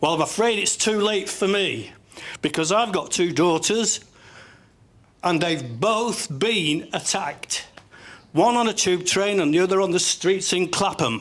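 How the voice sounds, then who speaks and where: A man with a Cumbrian accent speaks at a fairly slow pace and a high pitch, with ordinary pitch variation and very even loudness. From northern England, Kendal, Cumbria. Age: 70s. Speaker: army veteran, audience member. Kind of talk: heated debate. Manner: animated; halting.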